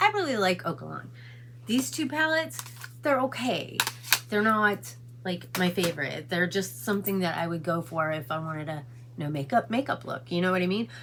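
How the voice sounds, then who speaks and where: Over noticeable background noise, a woman with a fairly low pitch talks at a moderate pace, her pitch swinging very widely. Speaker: beauty vlogger. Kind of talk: casual makeup tutorial vlog; casual vlog chat. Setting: in a car. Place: home room. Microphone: phone near.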